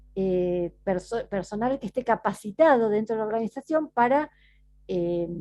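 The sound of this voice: This woman has a medium-pitched voice with a dark, mellow tone and lively intonation. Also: moderate pace.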